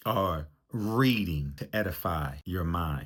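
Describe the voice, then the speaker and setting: A man with an American accent and lively intonation, very cleanly recorded over a silent background. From US, Baltimore, Maryland. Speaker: relationship coach. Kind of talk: motivational talk.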